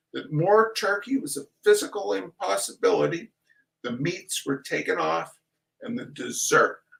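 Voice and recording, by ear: Over a quiet background, a natural voice reads aloud.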